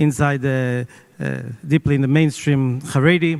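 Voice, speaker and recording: Speaking at a moderate pace with an Israeli accent, a man uses a fairly high pitch with ordinary variation. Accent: Israeli Hebrew. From Israel, Jerusalem. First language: not English. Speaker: media owner. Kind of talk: panel interview. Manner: halting.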